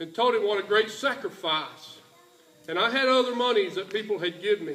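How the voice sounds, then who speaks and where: Raising and projecting his voice, a man talks at a high pitch and fairly quick pace with ordinary pitch variation amid noticeable background noise. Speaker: church mission trip leader. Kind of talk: church presentation speech. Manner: folksy, halting.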